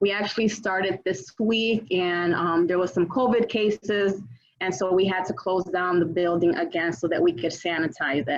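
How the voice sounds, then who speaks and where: Noticeable background noise sits behind a woman speaking at a moderate pace. She has a medium pitch and ordinary pitch variation. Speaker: city councilwoman. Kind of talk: community meeting updates. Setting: video call.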